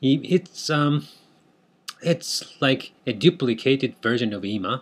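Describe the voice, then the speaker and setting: A man speaks with a Japanese accent and ordinary pitch variation. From Japan, Tokyo. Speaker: language teacher. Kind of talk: tutorial. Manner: halting, many fillers.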